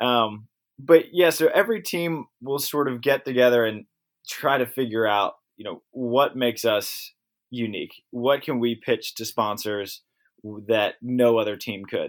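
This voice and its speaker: Using a normal speaking voice and an American accent, a man talks at a fairly slow pace with ordinary pitch variation and big swings in loudness on a very clean recording with a silent background. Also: medium pitch for a man. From Maryland, US. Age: 20s. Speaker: professional beach volleyball player. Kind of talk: casual interview.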